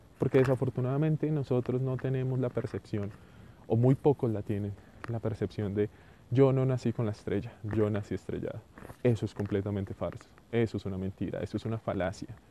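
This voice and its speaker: With an ordinary speaking voice, a man of medium pitch talks at a fairly quick pace and a fairly even intonation. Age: 30s. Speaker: podcaster. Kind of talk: solo monologue audioblog.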